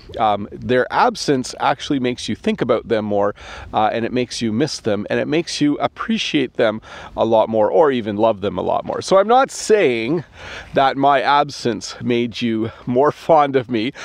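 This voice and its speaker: Speaking in a Canadian accent, a man at medium pitch talks at a moderate pace with ordinary pitch variation, the sound dry with no echo. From Canada. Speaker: English teacher. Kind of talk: casual talk to camera. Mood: warm, friendly. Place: open country. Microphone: phone near.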